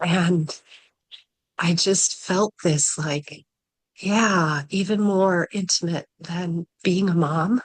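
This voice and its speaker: Soft-spoken and very slow, a woman talks at a fairly low pitch with fairly even intonation, her sound dry and close with no echo. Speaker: workshop participant. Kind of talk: sharing in a group session.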